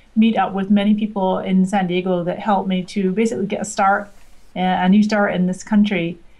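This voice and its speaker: A woman's somewhat breathy, medium-pitched voice with a slight Scottish accent. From Scotland. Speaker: social media marketing expert. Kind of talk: interview.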